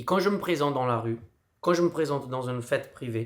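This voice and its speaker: A man's voice with ordinary pitch variation. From Brazil. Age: 40s. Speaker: street clown and performer. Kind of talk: casual vlog.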